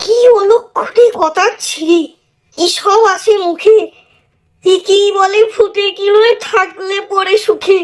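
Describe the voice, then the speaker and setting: A woman puts on a character voice pitched extremely high. She speaks at a fairly slow pace. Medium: read story. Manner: complaining, sharp.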